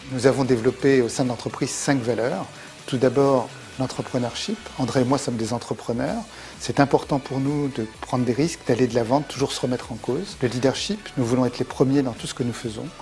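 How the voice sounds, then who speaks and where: With music playing in the background, a man speaks at a fairly quick pace with ordinary pitch variation. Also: medium pitch for a man. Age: 60s. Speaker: company executive. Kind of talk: corporate interview.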